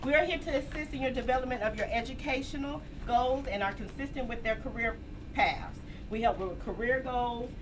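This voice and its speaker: Loud and high-pitched, a woman speaks with ordinary pitch variation amid noticeable background noise and audible room echo. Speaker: academic advisor. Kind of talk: orientation presentation.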